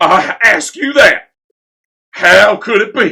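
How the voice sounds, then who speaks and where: A man's put-on character voice, high-pitched and very slow, with lively intonation. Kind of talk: comic overacting. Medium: read story. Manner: exasperated, blustering.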